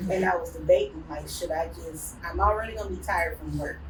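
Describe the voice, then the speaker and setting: A woman with a Southern US accent is heard with audible room echo and noticeable background noise. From US South, Memphis, Tennessee. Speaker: business owner. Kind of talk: casual chat. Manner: animated.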